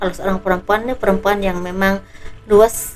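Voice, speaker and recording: Against noticeable background noise, a woman speaks softly. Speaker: tarot reader. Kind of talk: tarot reading. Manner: soft-spoken.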